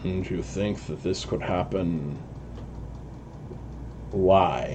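A man's put-on character voice, very deep and low, at a very slow pace over loud background noise. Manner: commanding.

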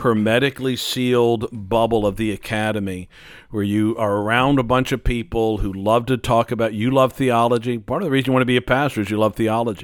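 With an ordinary speaking voice at medium pitch, a man talks at a fairly quick pace with hardly any pauses and fairly even intonation. The recording is very clean, its background silent. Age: 60s. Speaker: pastor and theology teacher. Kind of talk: casual chat.

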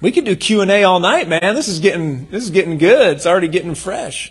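The man's voice is high in pitch and animated in tone. He talks at a fairly quick pace. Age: 40s. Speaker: pastor. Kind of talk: sermon.

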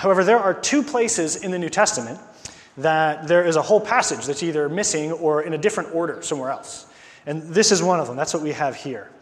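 Over noticeable background noise, a man speaks very fast in a high voice with ordinary pitch variation. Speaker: preacher. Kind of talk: sermon. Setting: church.

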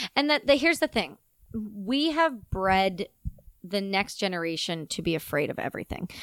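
In a loud, animated tone with very wide pitch swings, the speaker goes at a moderate pace, captured as a dry, close sound with no echo on a very clean recording with a silent background. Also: woman, medium pitch for a woman. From Canada. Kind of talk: casual interview conversation.

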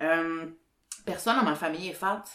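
A woman's fairly low-pitched voice with a Quebec accent. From Quebec, Sherbrooke. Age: 30s. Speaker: podcast host, journalist. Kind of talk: casual chat.

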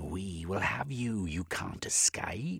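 Putting on a character voice, a man speaks slowly at a low pitch, with a husky, rough edge, vocal fry, a fairly bright tone and lively intonation.

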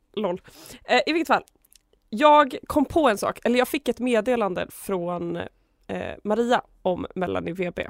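With long, frequent pauses, a woman speaks at a fairly slow pace in a fairly high pitch, the sound dry and close with no echo. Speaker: student radio host. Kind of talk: casual chat. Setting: studio.

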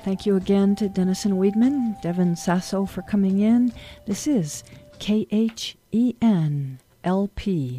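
Fairly slow, lively intonation from a woman with a medium pitch, a dark, mellow tone and a somewhat breathy sound. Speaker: radio host. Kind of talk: radio interview. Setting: radio studio.

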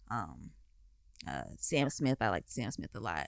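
Vocal fry colors a woman's voice that is very deep and low in pitch. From Delaware, US. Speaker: singer-songwriter and model. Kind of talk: interview. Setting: studio.

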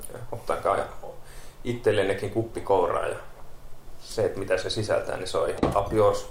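With audible room echo, a man talks at a moderate pace, broken by long, frequent pauses. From Kerava, Helsinki metropolitan area, Finland. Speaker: paramedic. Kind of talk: casual chat.

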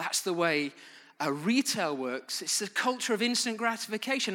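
A man with a British accent speaks in a raised, projected voice at a fairly quick pace. His high-pitched voice has a bright, sharp tone and very wide pitch swings, on a very clean recording with a silent background. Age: 30s. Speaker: pastor. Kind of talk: sermon.

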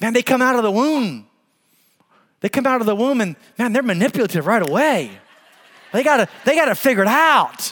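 A man with an extremely high pitch talks fairly quickly in an animated tone, with lively intonation, very even loudness and long, frequent pauses. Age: 50s. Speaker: pastor. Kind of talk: sermon.

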